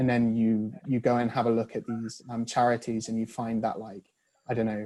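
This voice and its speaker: In a northern English accent, a man speaks at medium pitch with a dark, mellow tone. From northern England. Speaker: author. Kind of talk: video call discussion. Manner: halting.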